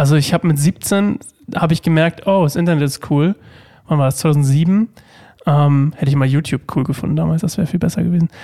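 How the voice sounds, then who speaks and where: Recorded with a dry, close sound and no echo, a man in a normal speaking voice talks fairly quickly at a fairly high pitch, with ordinary pitch variation and very even loudness. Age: 30s. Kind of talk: casual chat.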